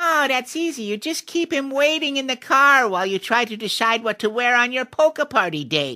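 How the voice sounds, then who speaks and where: A put-on character voice, fairly high in pitch, at a moderate pace with hardly any pauses. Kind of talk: comic fairy-tale voice acting. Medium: read story. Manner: cackling.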